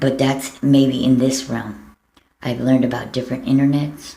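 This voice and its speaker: The voice has a dark, mellow tone and an American accent at a moderate pace. An audible room echo surrounds it. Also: woman. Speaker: vlogger. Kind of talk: personal video appeal. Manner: halting.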